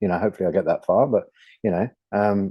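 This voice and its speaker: Fairly quick talk from a man in a British accent. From southern England. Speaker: author. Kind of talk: panel discussion. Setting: studio. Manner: halting.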